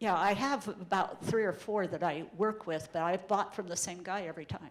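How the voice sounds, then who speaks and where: Through noticeable background noise, a woman speaks at a moderate pace at medium pitch with ordinary pitch variation. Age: 70s. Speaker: real estate investor. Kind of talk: interview answer at a seminar.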